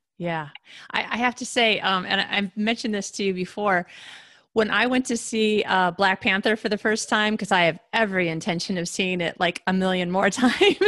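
A woman's medium-pitched voice, bright and sharp in tone, at a fairly quick pace with ordinary pitch variation over a quiet background. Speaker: podcast host. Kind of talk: interview. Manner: excitable.

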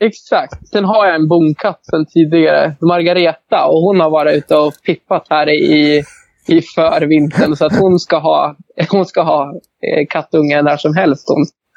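With a plain, everyday voice, a man at a fairly high pitch speaks at a fairly slow pace, his loudness very even and his intonation fairly even. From Sweden, Hälsingland. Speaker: horse breeder. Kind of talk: interview.

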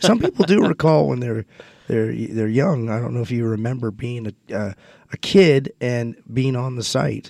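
Lively intonation marks this man's medium-pitched voice as he talks at a moderate pace. The sound is dry and close, without echo. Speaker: radio host. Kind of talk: interview. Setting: studio. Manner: halting.

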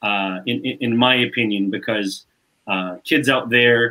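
A man speaks in a normal speaking voice at medium pitch. His intonation stays fairly even. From Canada, Montreal. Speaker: basketball player development coach. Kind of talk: casual chat.

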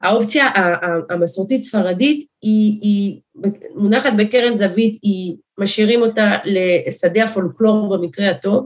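Fairly high and somewhat breathy, a woman's voice moves at a fairly slow pace with ordinary pitch variation. Her loudness stays very even. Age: 40s. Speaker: politician, primary candidate. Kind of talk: interview.

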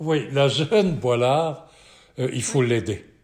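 Over a silent background in a very clean recording, a man with a fairly high pitch and somewhat breathy voice talks at a very slow pace with lively intonation. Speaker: sports event founder and broadcaster. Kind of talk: interview.

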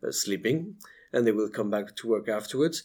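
The speaker has a French accent and ordinary pitch variation. The recording is very clean, with a silent background. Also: man. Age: 40s. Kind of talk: interview conversation. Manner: halting, hesitant with fillers.

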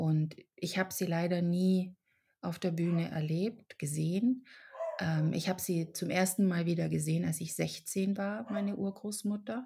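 A woman talks at a fairly slow pace. Her voice is somewhat breathy and fairly low-pitched. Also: ordinary pitch variation. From Germany, raised in Czech family. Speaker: actress and author. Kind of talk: podcast interview. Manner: hesitant with fillers.

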